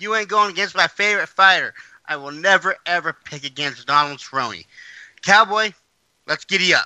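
With a raised, projected voice, a man speaks at a moderate pace in a high pitch and a bright, sharp tone, showing ordinary pitch variation and big swings in loudness, recorded with a dry, close sound and no echo. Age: 30s. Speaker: MMA podcast co-host; military veteran. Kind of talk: casual sports chat.

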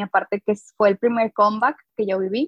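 Speaking at a moderate pace, a woman has a plain, everyday voice that sits fairly high in pitch. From northern Mexico, Coahuila. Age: 20s. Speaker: designer and teacher, fan artist. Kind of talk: casual interview chat.

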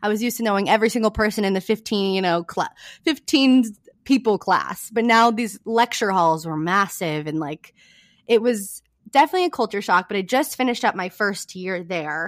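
Speaking with an American accent at a fairly quick pace, a woman with a medium pitch uses lively intonation in a very clean recording with a silent background. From small-town California. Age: 20s. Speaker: student and podcaster. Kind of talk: casual interview chat. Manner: laughs often.

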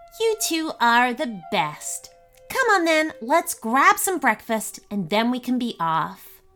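A woman uses a put-on character voice at a high pitch with very wide pitch swings, speaking at a fairly slow pace while faint music plays in the background. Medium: read story. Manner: gruff.

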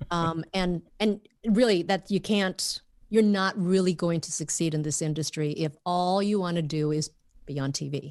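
Over a quiet background, a woman with an American accent speaks at a moderate pace with ordinary pitch variation in a plain, everyday voice. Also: fairly low pitch for a woman. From Minnesota, US. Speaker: journalist and podcast host. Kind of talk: casual interview chat.

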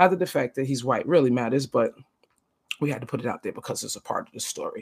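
Her pitch very deep and low, a woman speaks in an animated tone with very wide pitch swings. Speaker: podcast host. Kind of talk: casual storytelling monologue.

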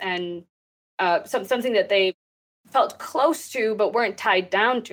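A woman speaks with a Texas accent and a fairly high pitch. Her pace is moderate and her intonation lively. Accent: American, Texas. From Texas, US. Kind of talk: interview conversation.

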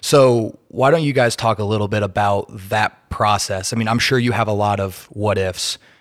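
A plain, everyday voice, a man with an American accent speaks at a fairly low pitch and moderate pace, with ordinary pitch variation and hardly any pauses, on a very clean recording with a silent background. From Indiana. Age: young. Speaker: podcast host. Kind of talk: casual interview.

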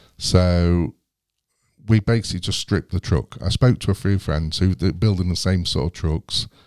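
A man with an English accent speaks at a moderate pace in a very deep, low voice with a dark, mellow tone and ordinary pitch variation, recorded dry and close with no echo against a silent background. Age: 40s. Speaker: YouTuber and off-grid overlander. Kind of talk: casual interview. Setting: studio. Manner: halting, many fillers.

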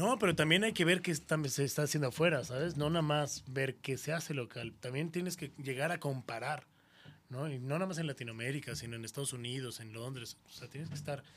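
A man with an ordinary speaking voice, fairly high in pitch, at a fairly quick pace with ordinary pitch variation. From Mexico City. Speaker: radio host. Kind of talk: casual chat.

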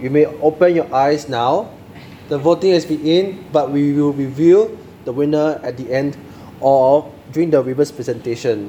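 Noticeable background noise sits behind a man speaking at a moderate pace, with a fairly high pitch and ordinary pitch variation. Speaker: club meeting emcee. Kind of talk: formal club meeting.

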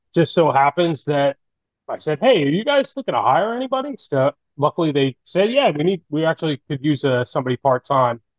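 A man speaks with a plain, everyday voice. His pitch is fairly high and his intonation lively. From New Jersey. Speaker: custom fishing rod builder. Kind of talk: casual interview chat.

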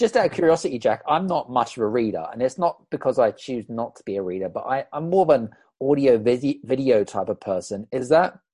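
Recorded dry and close with no echo against a quiet background, a man with a dark, mellow tone and medium pitch talks fairly quickly with lively intonation and hardly any pauses. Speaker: summit host. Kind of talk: interview. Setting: video call.

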